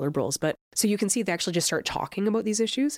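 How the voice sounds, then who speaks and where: A very fast, lively-sounding delivery in an Albertan accent, with a dry, close sound and no echo. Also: woman. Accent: Canadian (Alberta). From southern Alberta, Canada. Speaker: political science professor. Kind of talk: interview.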